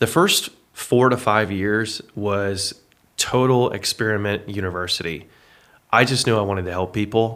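A man's fairly low voice, an ordinary speaking voice, at a moderate pace with fairly even intonation, on a very clean recording with a silent background. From Texas. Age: 30s. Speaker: fitness business owner. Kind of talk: casual interview.

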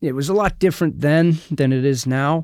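The recording is very clean, with a silent background and a dry, close sound with no echo. A man with an unremarkable speaking voice talks at a moderate pace with ordinary pitch variation. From US, military family. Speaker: sales leader and mindset coach. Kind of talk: interview. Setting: home studio. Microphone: own studio equipment.

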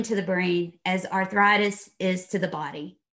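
A woman speaks with a slight Texas accent. Her tone is bright and sharp. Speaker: leadership consultant and author. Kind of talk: interview.

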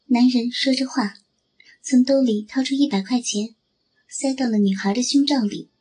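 This woman's voice is high-pitched yet dark and mellow in tone. She keeps a moderate pace with long, frequent pauses. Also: ordinary pitch variation. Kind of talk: scripted dramatic narration with character voices, ASMR-style story reading.

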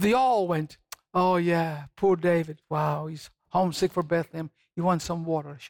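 In a dry, close sound with no echo, a man with a high voice speaks at a moderate pace in an animated tone, his loudness swinging widely. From Scotland. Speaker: missionary evangelist. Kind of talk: TV talk show interview with Bible teaching. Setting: TV studio. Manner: animated storytelling.

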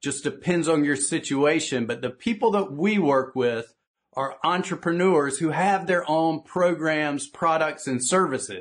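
Over a quiet background, a man with a Southern US accent talks at a fairly slow pace, his fairly high pitch showing ordinary pitch variation. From US South. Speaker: business coach. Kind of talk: conference talk. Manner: animated.

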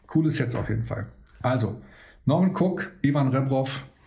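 A man speaks at a fairly slow pace with a dark, mellow tone. His voice is somewhat breathy, with audible room echo. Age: 50s. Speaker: DJ and podcast host. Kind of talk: casual chat. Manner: animated.

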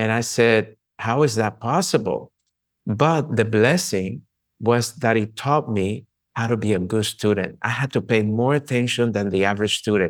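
Someone with a Spanish accent speaks at a moderate pace with ordinary pitch variation, in a very clean recording with a silent background. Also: man, medium pitch for a man. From Colombia. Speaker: chiropractor and author. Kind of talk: casual interview conversation.

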